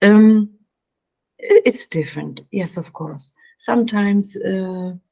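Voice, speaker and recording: A woman with a German accent speaks very slowly in a dark, mellow tone, somewhat breathy, with ordinary pitch variation. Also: medium pitch for a woman. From Germany. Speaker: meditation coach. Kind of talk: interview. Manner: halting.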